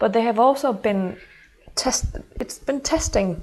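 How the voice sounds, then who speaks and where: A woman speaks at a moderate pace with a Danish accent. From Denmark. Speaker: intuitive mentor. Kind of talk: channeled horoscope monologue. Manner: halting.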